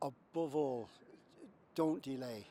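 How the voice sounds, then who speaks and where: A man with a Limerick accent speaks at a fairly high pitch with ordinary pitch variation. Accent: Irish (Limerick). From Ireland, County Limerick. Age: 70s. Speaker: heart patient. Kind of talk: testimony. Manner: halting.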